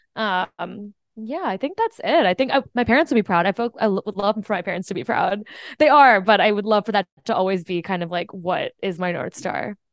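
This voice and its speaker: A woman's unremarkable speaking voice at a medium pitch, lively in intonation and fairly quick in pace, with a dry, close sound, no echo and a quiet background. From US, Indian immigrant family. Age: 20s. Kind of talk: casual chat. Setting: video call.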